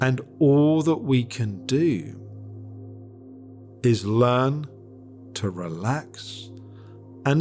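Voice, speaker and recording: Over music in the background, a man with a medium pitch and a calm, soothing tone speaks very slowly with lively intonation and long, frequent pauses. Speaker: meditation guide. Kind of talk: guided meditation. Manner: calm, slow, soothing.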